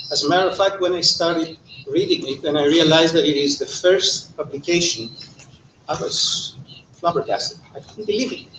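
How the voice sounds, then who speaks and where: A male speaker with a high voice goes at a rather brisk clip while noticeable noise carries on in the background. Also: ordinary pitch variation. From Greece. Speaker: economist. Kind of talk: panel talk.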